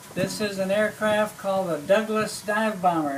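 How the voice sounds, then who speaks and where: There is noticeable background noise as a man speaks at a moderate pace. His voice is high, with ordinary pitch variation. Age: 80s+. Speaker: WWII navy veteran and museum guide. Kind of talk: museum tour talk. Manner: halting, with fillers and repeats.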